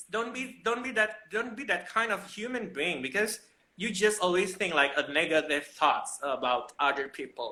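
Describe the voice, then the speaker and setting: The speaker has an Indonesian accent. The pace is moderate. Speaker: fashion professional. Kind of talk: casual chat. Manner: animated; halting.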